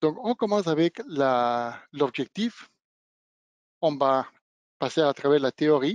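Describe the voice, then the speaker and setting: A man's fairly high voice with lively intonation and a non-native accent, dry and close with no echo. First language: not French (speaking French). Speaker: product trainer / technical presenter. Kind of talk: webinar product demonstration. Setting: online webinar. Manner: hesitant, with fillers and self-corrections.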